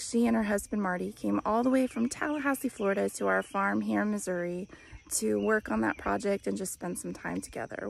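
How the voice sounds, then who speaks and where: There is noticeable background noise, yet the sound is dry with no echo. A woman talks at a fairly quick pace. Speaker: farm cooking vlogger. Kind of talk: casual vlog chat. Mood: warm, cheerful. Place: open country. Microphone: phone near.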